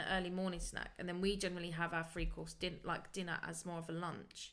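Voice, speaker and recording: Pitched in the medium range, a woman keeps her speech at a moderate pace. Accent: British. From UK. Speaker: podcast co-host, craft business owner. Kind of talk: casual chat.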